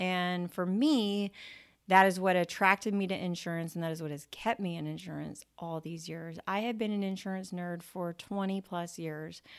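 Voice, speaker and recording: On a very clean recording with a silent background, a woman speaks in an unremarkable speaking voice at medium pitch and a moderate pace, with fairly even intonation. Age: 40s. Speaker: podcast host and insurance entrepreneur. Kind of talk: monologue podcast talk. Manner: casual, with frequent filler words.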